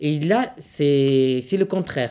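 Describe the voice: A woman's low, dark and mellow voice, slow in pace with lively intonation.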